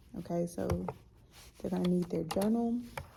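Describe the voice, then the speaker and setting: A woman's somewhat breathy voice has a dark, mellow tone, a medium pitch, and fairly even intonation. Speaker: high school art teacher. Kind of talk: casual vlog.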